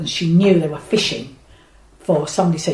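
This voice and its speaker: Over noticeable background noise, a woman with a very deep, low pitch talks at a very fast pace with ordinary pitch variation. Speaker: retired social worker. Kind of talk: interview. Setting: home kitchen.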